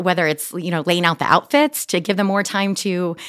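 Recorded dry and close with no echo, a woman with an American accent speaks in a fairly low pitch with ordinary pitch variation and a plain, everyday voice. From New York. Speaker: holistic health coach. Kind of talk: interview.

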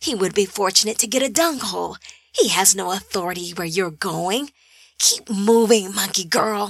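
A female-sounding voice puts on a raspy character voice at a medium pitch and a moderate pace. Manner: sneering, taunting.

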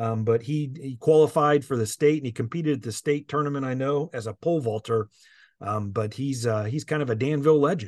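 A man with a Midwestern American accent talks at a fairly quick pace and a medium pitch with ordinary pitch variation. The sound is dry and close with no echo. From Indiana. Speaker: education association executive. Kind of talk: interview. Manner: hesitant, many fillers.

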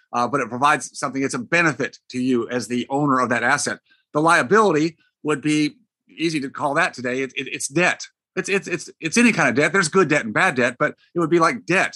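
A man with an ordinary speaking voice talks at a fairly quick pace and fairly high pitch with lively intonation, recorded dry and close with no echo over a quiet background. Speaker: retired dentist turned financial author and coach. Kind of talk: conversational podcast interview. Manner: conversational, explanatory.

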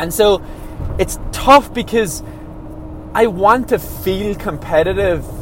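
Very slow speech in an Irish accent, with long, frequent pauses and ordinary pitch variation, comes through noticeable background noise. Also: man, high pitch for a man. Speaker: professional runner. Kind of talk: casual monologue. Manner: halting.

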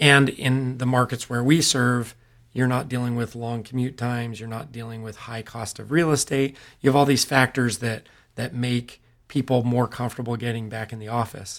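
A man with a Californian accent speaks at a medium pitch and moderate pace, in monotone, flat intonation. His loudness swings widely on a very clean recording with a silent background. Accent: General American (California). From Central Valley, California (Modesto). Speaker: real estate investor, podcast co-host. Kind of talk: casual business discussion.

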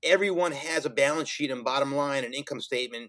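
In a New York accent, a man speaks at a very fast pace and fairly high pitch with fairly even intonation. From New York City (Brooklyn and Queens). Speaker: finance professional and social entrepreneur. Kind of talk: casual interview.

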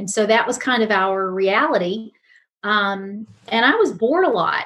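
A woman speaks in a normal speaking voice at a fairly slow pace, with ordinary pitch variation over a quiet background. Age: 50s. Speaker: pastor and talk show host. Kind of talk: casual chat.

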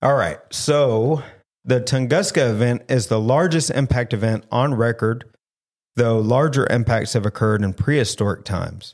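On a very clean recording with a silent background, a man with a Southern US accent speaks at a medium pitch and moderate pace, with ordinary pitch variation and very even loudness. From US South. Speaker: paranormal podcast host. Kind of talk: casual chat; reading research aloud in casual podcast.

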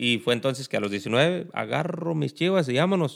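A man speaks with lively intonation at a moderate pace and fairly high pitch. The recording is very clean, with a silent background. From Mexico, Tierra Caliente (Guerrero). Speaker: podcast co-host. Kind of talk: casual chat.

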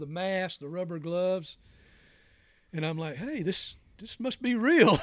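At a fairly slow pace, a man speaks with a high pitch. The recording is very clean, with a silent background. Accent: Southern US. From Georgia, US South (Newnan, south of Atlanta). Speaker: fly fisherman and wooden drift boat builder. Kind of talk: casual chat, storytelling. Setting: studio.

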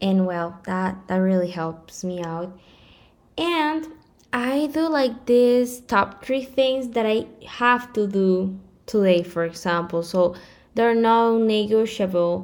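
The speaker sounds confident, with a Spanish accent and lively intonation. Delivery comes at a very slow pace. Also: woman, medium pitch for a woman. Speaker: podcast host. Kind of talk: casual chat. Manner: slightly hesitant at first, then more confident.

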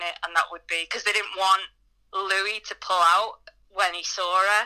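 In a bright, sharp, medium-pitched voice, a woman speaks fairly slowly with monotone, flat intonation. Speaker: comedian. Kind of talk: casual chat.

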